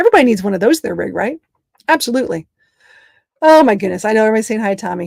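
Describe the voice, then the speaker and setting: Long, frequent pauses from a woman with an American accent, fairly high pitch and lively intonation, in a dry, close sound with no echo. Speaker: travel vlogger living on the road in an RV. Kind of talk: live stream chat with viewers. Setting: inside a camper van on the road. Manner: fast; animated.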